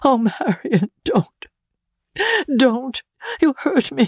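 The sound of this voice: A woman uses a put-on character voice, high-pitched with a slightly mellow tone and a slightly husky edge. Her intonation is lively, her pace very slow, and the sound dry and close with no echo.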